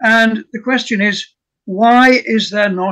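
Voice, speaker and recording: A man's high, bright, sharp voice, raised and projected, with ordinary pitch variation over a quiet background. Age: 80s+. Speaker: retired professor, archaeologist; retired professor. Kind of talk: academic presentation; lecture-style presentation in group discussion. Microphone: video call.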